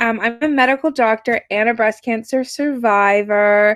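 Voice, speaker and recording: A woman speaks with an American accent at a moderate pace. The sound is dry and close, with no echo. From United States. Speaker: medical doctor. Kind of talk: webinar lecture. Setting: video webinar.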